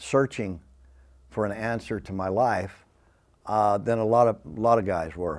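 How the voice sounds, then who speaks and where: Speech with ordinary pitch variation, delivered in an American accent. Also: man. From Southeast Texas, Beaumont. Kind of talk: testimony. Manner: hyper, energetic; halting, many fillers.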